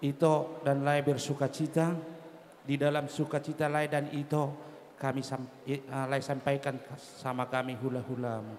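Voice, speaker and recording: The man's intonation is monotone and flat. His pace is fairly slow. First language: Batak Toba (speaking Indonesian). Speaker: clan association leader at wedding. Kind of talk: ceremonial speech.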